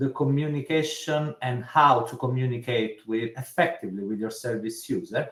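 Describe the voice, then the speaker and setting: A man with an Italian accent speaks at medium pitch, somewhat breathy. His pitch moves with ordinary variation. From Italy. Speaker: social care commissioner. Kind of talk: webinar discussion. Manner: halting.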